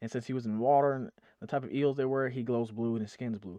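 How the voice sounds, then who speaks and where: Against a quiet background, a man with a dark, mellow tone speaks at a very fast pace, the sound dry and close with no echo. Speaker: YouTube movie reactor. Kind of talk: video reaction commentary. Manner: animated.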